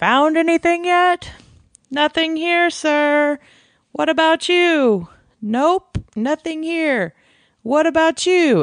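A put-on character voice, high in pitch, at a very slow pace with long, frequent pauses. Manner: deadpan.

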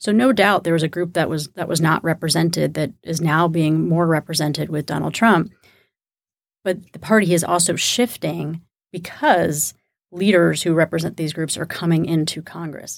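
With vocal fry and fairly even intonation, a woman talks at a moderate pace and a fairly low pitch in a very clean recording with a silent background. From Texas, Houston suburbs. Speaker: political strategist. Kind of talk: panel discussion. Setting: studio.

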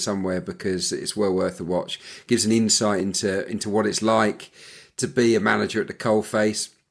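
Fairly low-pitched male voice, a normal speaking voice, at a fairly quick pace, on a very clean recording with a silent background. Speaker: football analyst and former winger. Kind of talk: casual panel discussion.

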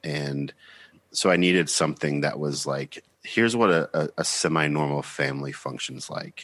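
A man's very deep, low voice with vocal fry, ordinary pitch variation, a moderate pace, and a dry, close sound with no echo. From US South, Georgia. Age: 30s. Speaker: musician. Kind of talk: casual interview conversation.

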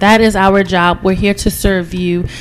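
A woman's mid-range voice, with fairly even intonation, comes through noticeable background noise. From Nigeria. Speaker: physical therapist. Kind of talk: interview, explaining clinical practice.

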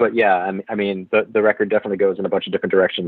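With an American accent, this man races along at a very fast pace. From Massachusetts, US. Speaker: metal musician. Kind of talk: interview. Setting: remote call with AirPods.

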